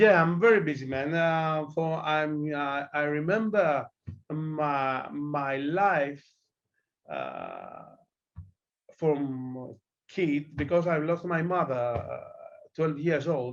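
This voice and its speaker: The speech moves at a very slow pace with long, frequent pauses and fairly even intonation. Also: man, fairly high pitch for a man. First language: Greek. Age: 40s. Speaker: darts player. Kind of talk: interview. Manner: halting.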